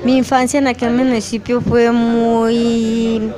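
A woman with fairly high pitch speaks at a very slow pace. Noticeable background noise and audible room echo surround her. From Colombia, Norte de Santander (Catatumbo). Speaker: rural teacher and community leader. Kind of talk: research interview.

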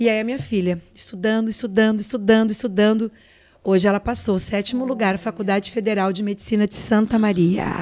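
This woman has a normal speaking voice with a fairly high pitch. She talks at a fairly quick pace with fairly even intonation. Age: 50s. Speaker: businesswoman and influencer. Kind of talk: casual chat.

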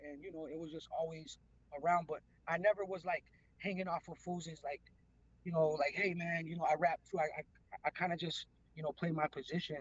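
Speaking at a very fast pace yet with long, frequent pauses, a man with an American accent uses a high pitch and monotone, flat intonation, with big swings in loudness. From Los Angeles, San Fernando Valley. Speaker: rapper and producer. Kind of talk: casual interview.

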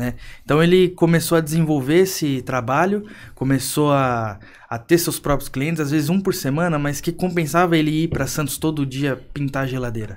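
A plain, everyday voice from a man, fairly high-pitched, moderate in pace, with ordinary pitch variation. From Brazil, São Paulo coast (Praia Grande). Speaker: entrepreneur. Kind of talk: podcast interview.

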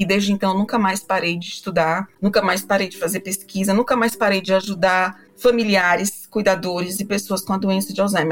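Speaking at a fairly quick pace with hardly any pauses, a woman keeps a medium pitch and a flat, monotone intonation. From Brazil, Fortaleza (Northeast). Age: 40s. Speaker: psychologist and professor. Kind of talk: interview.

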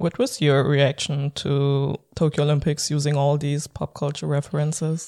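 The voice carries a German accent. The pace is moderate. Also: hardly any pauses. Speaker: podcast host. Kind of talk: interview.

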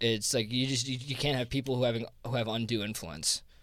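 A man with an American accent, medium-pitched, at a fairly quick pace with fairly even intonation. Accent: New Jersey accent, comes out on some words. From New Jersey. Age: 20s. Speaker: crypto investment fund founder. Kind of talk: casual interview. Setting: podcast recording in New York. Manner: hesitant, many fillers and restarts.

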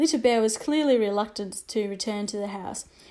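Unforced voice, reading aloud.

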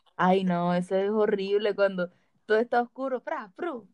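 A woman with a plain, everyday voice and a fairly high pitch speaks at a fairly slow pace with ordinary pitch variation, in a dry, close sound with no echo. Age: 20s. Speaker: podcast co-host. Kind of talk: casual chat.

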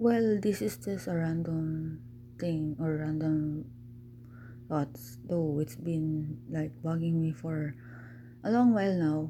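Very deep and low in pitch, a woman's somewhat breathy voice with a dark, mellow tone and calm tone moves at a very slow pace with lively intonation, long, frequent pauses and audible room echo. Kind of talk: personal monologue.

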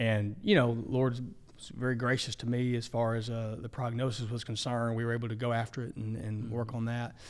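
Flat, monotone delivery in an Arkansas accent, at a fairly quick pace, with audible room echo. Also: man, medium pitch for a man. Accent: Southern US (Arkansas). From Arkansas (Ashdown, southwest). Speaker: denominational minister, former interim pastor. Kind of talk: casual interview. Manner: halting, many repetitions.

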